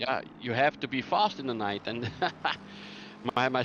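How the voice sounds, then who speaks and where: A man with a Flemish accent, ordinary pitch variation and a moderate pace. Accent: Flemish Dutch accent in English. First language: Dutch. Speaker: sim racing commentator. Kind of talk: live commentary. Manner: halting.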